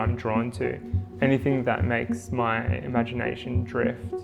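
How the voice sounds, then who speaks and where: Music plays behind a man with a medium-pitched voice. His tone is calm and his intonation fairly even. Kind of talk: documentary narration.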